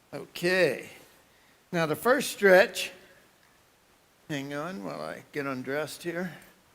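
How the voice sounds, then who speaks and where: With an American accent, a man speaks very slowly in a fairly high voice with lively intonation, big swings in loudness and long, frequent pauses, and room echo is audible. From New York, Brooklyn. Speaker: motivational speaker. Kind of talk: conference keynote. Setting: stage with audience. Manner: animated.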